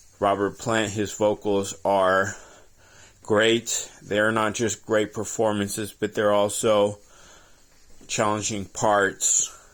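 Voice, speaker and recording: A fairly low male voice, very slow and flat in a monotone, on a very clean recording with a silent background. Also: very even loudness. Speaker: aspiring singer and vlogger. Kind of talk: casual monologue vlog.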